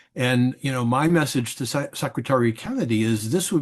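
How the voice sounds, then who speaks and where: A man speaks at a moderate pace and medium pitch, with ordinary pitch variation over a quiet background. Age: 60s. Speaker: psychiatrist and journal editor. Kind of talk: prepared video commentary. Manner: halting, with fillers and repetitions.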